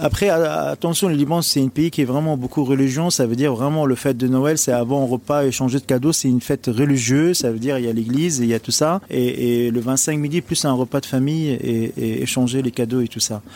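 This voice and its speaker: A man's dark, mellow tone with hardly any pauses. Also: medium pitch for a man, ordinary pitch variation, fairly quick pace. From Lebanon. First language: Arabic (speaking French). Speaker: chef. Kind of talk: interview.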